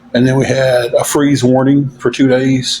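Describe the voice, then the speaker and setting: Over noticeable background noise, a man speaks at medium pitch in a monotone, flat intonation. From Tennessee. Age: 40s. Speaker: livestreamer asking for donations. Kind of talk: casual livestream chat.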